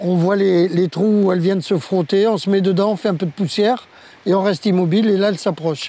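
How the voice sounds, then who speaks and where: With a dark, mellow tone and a high pitch, a man speaks at a fairly quick pace in a dry recording with no echo. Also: fairly even intonation. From Oran, Algeria, raised in France. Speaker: veteran champion spearfisher. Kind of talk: interview recollection. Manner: measured, explanatory. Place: beach. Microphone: lapel.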